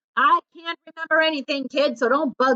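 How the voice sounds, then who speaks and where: A woman puts on a gruff character voice, pitched high. She keeps a moderate pace. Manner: barking, gruff, irritable.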